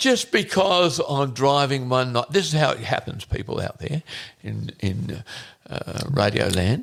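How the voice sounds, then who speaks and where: A fairly slow, lively-toned man with an Australian accent and a fairly high pitch. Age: 70s. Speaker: hunter, father of the co-host. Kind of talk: casual chat. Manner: halting.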